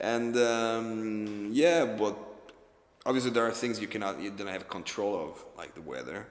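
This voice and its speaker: A man with an Italian accent, with audible room echo. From Italy, Rome. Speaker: film director. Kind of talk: interview. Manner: halting, with many repetitions and fillers.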